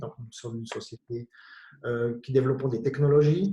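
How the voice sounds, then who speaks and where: A man's somewhat breathy, medium-pitched voice with a dark, mellow tone, fairly even intonation and a slight Jura Swiss accent. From Switzerland, Bienne (canton of Bern). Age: 50s. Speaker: company director. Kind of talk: panel discussion.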